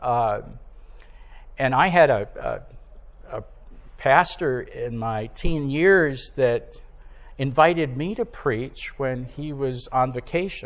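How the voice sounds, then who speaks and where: A man with a fairly high pitch and ordinary pitch variation speaks at a very slow pace, leaving long, frequent pauses. Audible room echo surrounds his voice. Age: 70s. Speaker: preacher. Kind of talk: sermon. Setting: church.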